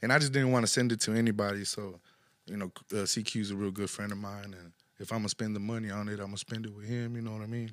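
A man with a fairly low pitch talks at a very fast pace in a flat monotone, his loudness swinging widely. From Houston, Texas (Northeast side). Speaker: rapper. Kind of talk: casual interview chat.

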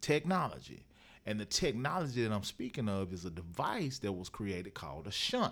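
At a moderate pace, a man speaks in a fairly low voice with vocal fry and very wide pitch swings. The recording is very clean, with a silent background. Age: 40s. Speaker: motivational speaker and author. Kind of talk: interview, personal testimony.

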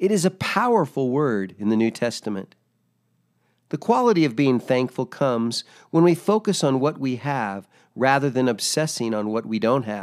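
This is an ordinary speaking voice with lively intonation at a moderate pace. The recording is very clean, with a silent background. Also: man, medium pitch for a man. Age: 60s. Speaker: devotional speaker, military veteran. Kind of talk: scripted devotional reading.

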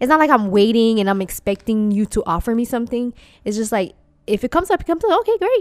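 A woman speaking at a very fast pace, with a dry, close sound and no echo. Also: fairly high pitch for a woman, lively intonation. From Dominican-Puerto Rican family, US. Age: 20s. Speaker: podcast co-host. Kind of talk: casual chat. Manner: loud.

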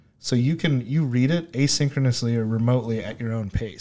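Speaking at a fairly quick pace, a man has an unremarkable speaking voice, medium pitch and ordinary pitch variation. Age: 20s. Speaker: startup CEO and co-founder of e-learning platform for the blind. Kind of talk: casual interview chat.

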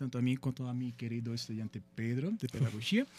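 A man speaks at a very fast pace with a Brazilian accent. His pitch sits in the medium range. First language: Portuguese (speaking Spanish). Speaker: psychology professor. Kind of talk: radio interview. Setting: radio studio.

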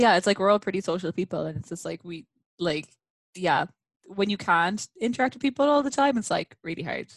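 Fairly quick and lively in intonation, a woman at medium pitch is heard in a dry, close sound with no echo. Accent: Irish. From Ireland, countryside. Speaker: podcast guest. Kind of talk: casual chat.

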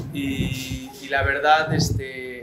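Music in the background behind a man's voice with audible room echo. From Mexico City. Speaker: retired professional footballer. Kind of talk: interview. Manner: halting.

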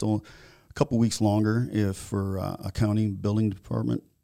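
A man with an American accent, fairly low in pitch with a dark, mellow tone, fairly even intonation and a moderate pace. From Florida (Naples), early years northern Minnesota. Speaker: building contractor. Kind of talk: podcast interview. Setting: studio.

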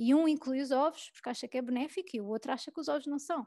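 Rushing at a very fast pace, a woman speaks in a high pitch with a dark, mellow tone and lively intonation. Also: dry, close sound with no echo. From Portugal, Lisbon area. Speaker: food blogger and food photographer. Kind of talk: casual interview chat. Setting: podcast recording. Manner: hesitant, many repetitions.

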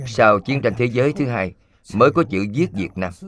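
The intonation is lively. This man's speech moves at a fairly slow pace. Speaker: voice-over translator of a Buddhist master's lecture. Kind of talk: dubbed Buddhist dharma lecture.

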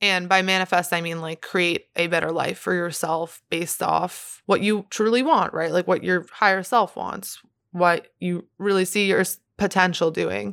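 A woman with a fairly low pitch and an unremarkable speaking voice talks with hardly any pauses on a very clean recording with a silent background. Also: moderate pace. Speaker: podcast host; singer. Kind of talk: casual solo podcast chat. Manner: excitable, chatty.

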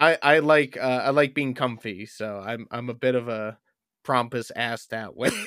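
At a moderate pace, a man with an American accent and an ordinary speaking voice talks at a medium pitch with fairly even intonation on a very clean recording with a silent background. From upstate New York. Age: 20s. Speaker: stand-up comedian. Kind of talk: casual chat.

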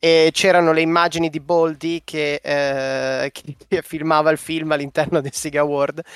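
With a fairly high pitch and monotone, flat intonation, a man talks at a fairly slow pace with hardly any pauses, the sound dry and close with no echo. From Bologna, Italy. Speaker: podcast co-host. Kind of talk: casual chat.

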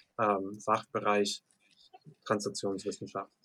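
The speaker is a man with an English accent. His tone is bright and sharp. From US, Lancaster, Pennsylvania. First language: English (speaking German). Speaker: professional MMA fighter. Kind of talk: interview.

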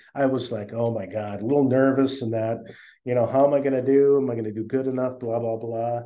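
A man speaks in a dark, mellow tone at a fairly quick pace. His medium pitch has ordinary variation, and audible room echo surrounds it. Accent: American. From US Midwest, northwest Iowa. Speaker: tech startup founder. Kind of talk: interview. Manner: halting, many fillers.

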